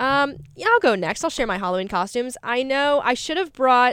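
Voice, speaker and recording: On a very clean recording with a silent background, a woman with a normal speaking voice talks at a fairly quick pace with lively intonation. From North Carolina. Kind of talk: casual chat. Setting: studio.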